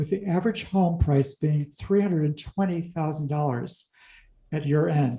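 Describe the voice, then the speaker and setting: A man speaks at a moderate pace in a fairly high, somewhat breathy voice with a dark, mellow tone and ordinary pitch variation. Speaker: commercial real estate loan expert. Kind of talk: interview-style explainer video.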